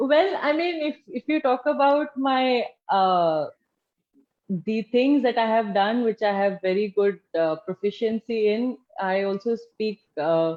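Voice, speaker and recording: A fairly high-pitched woman with an Indian accent, very wide pitch swings and a fairly slow pace. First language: Hindi. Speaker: former homeschooler, political party official. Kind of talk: interview.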